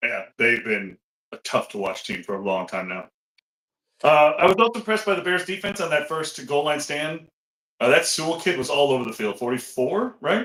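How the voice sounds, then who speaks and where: A loud man's voice, fairly high and bright with a sharp tone, with very wide pitch swings at a moderate pace. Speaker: sports podcast co-host. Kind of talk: casual chat. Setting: home back office, video call.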